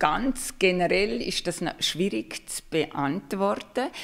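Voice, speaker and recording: This woman is heard in a very clean recording against a silent background. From Liechtenstein. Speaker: marketing expert and lecturer. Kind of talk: interview on livestream.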